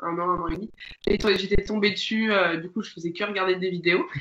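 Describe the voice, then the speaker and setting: This is a woman speaking. Her pace is fairly quick. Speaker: board game social media creator. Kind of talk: interview. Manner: halting; hesitant.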